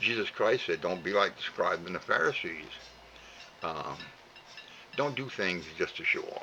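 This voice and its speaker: There is noticeable background noise behind this man. He talks at a moderate pace with a strong Cajun accent. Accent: heavy Cajun. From Louisiana (Cajun). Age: 80s+. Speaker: elderly vlogger. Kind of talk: heartfelt monologue. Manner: halting, many fillers and repeats; rambling.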